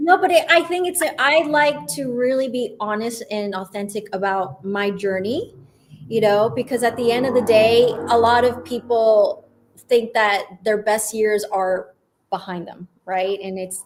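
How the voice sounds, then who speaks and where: A woman's fairly high voice with lively intonation, an ordinary speaking voice. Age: 40s. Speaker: agency founder and video content guest. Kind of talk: live show interview.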